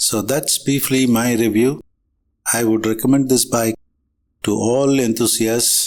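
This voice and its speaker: A medium-pitched man talks at a fairly slow pace in a monotone, flat intonation. The recording is very clean, with a silent background. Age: 70s. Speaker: motorcycle vlogger. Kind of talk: product review.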